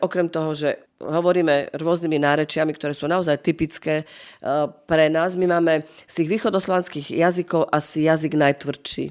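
In a very clean recording with a silent background, a woman talks at a fairly quick pace with a fairly low pitch and fairly even intonation. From northeastern Slovakia, Rusyn. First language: Rusyn (speaking Slovak). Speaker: museum director. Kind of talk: interview. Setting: museum in Prešov.

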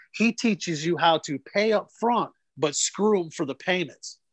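This man has a Southern US accent and a high pitch, with ordinary pitch variation at a moderate pace. The sound is dry and close with no echo, over a quiet background. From North Carolina. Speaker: comedian. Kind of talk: casual chat.

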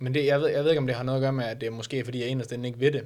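This is a man speaking. His pitch is medium. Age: 20s. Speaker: bodybuilding competitor. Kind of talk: casual interview. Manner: halting, many fillers.

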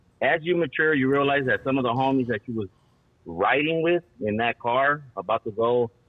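At a moderate speed, an ordinary speaking voice shows normal pitch movement. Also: man. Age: 40s. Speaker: caller. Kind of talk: phone call-in. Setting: phone call.

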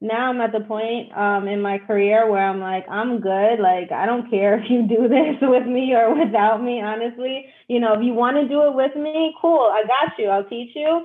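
The speaker has a New York accent and a moderate pace with hardly any pauses. Pitch varies in an ordinary way. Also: woman, fairly high pitch for a woman. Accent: New York City. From New York City (Brooklyn, East Harlem). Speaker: forex trader and team recruiter. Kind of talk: casual interview chat.

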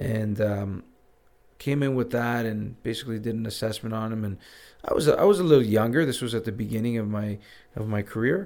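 A man with an unremarkable speaking voice, medium in pitch with ordinary pitch variation, at a fairly quick pace. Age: 40s. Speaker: physiotherapist. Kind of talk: casual chat.

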